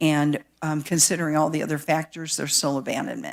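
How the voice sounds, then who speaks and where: A woman with a very deep, low pitch is heard in a very clean recording against a silent background. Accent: Midwestern. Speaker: county planning staff presenter. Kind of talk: public meeting presentation. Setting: public board meeting. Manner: halting, many fillers.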